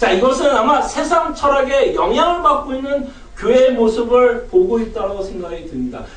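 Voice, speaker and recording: An extremely high male voice with very wide pitch swings at a moderate pace, amid noticeable background noise and audible room echo. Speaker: pastor. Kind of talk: sermon.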